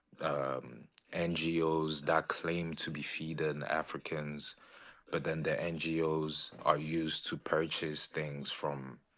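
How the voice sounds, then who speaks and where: A man's very deep, low voice carries vocal fry and monotone, flat intonation. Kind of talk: debate.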